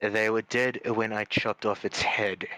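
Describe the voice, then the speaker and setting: A put-on character voice delivers its lines in a monotone, flat intonation, with a dry, close sound and no echo. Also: man, medium pitch for a man, moderate pace. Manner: stern.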